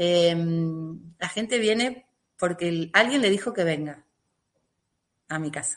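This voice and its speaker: A woman's fairly low voice, fairly slow in pace, with lively intonation. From Argentina. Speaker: emotional release therapist. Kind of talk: interview.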